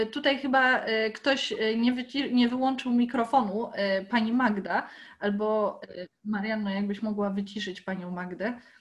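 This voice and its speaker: Somewhat breathy, a woman's voice sits fairly high in pitch. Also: ordinary pitch variation, moderate pace. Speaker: botanical garden educator and moderator; meeting moderator. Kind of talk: moderating an online Q&A. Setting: video call. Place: home room. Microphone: laptop mic, no headset; video call.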